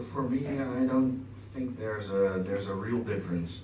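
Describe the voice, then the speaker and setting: A man with a Dutch accent speaks at a moderate pace with fairly even intonation. Audible room echo and noticeable background noise surround him. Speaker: actor. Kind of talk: Q&A panel talk. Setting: stage with audience.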